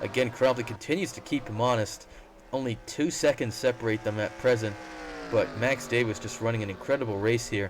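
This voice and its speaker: Through noticeable background noise, a man at medium pitch talks at a fairly quick pace with ordinary pitch variation. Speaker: sim racing commentator. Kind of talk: race commentary. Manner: casual, joking.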